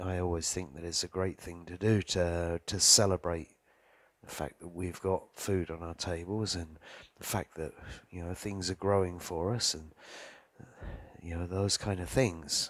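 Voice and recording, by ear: At a fairly slow pace, a man speaks in a low pitch with fairly even intonation.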